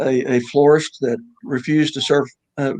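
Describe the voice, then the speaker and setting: A man with a Texas accent speaks at a fairly high pitch with fairly even intonation, his voice dry and close with no echo. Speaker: judge and author. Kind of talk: radio interview.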